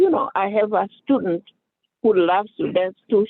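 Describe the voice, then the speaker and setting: This man speaks at a moderate pace with a high pitch. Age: 60s. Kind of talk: casual chat. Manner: halting.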